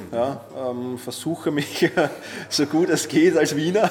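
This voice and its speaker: Noticeable background noise sits behind a man with a fairly high pitch. He speaks at a very slow pace with ordinary pitch variation. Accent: Viennese. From Austria, Vienna. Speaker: productivity expert and author. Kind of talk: interview. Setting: hotel lobby.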